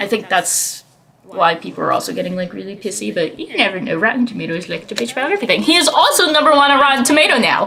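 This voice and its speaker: Over noticeable background noise, a woman with a non-native accent talks very fast, her pitch swinging very widely. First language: not English. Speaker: podcast host. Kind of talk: casual chat. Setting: live stream. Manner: halting.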